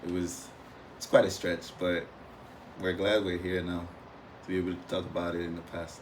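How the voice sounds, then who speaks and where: With an American accent, a man talks at a moderate pace in a very deep, low pitch and a monotone, flat intonation, leaving long, frequent pauses amid audible room echo. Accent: Nigerian accent, adapting to American. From Nigeria, Imo State. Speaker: former international student. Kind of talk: podcast interview.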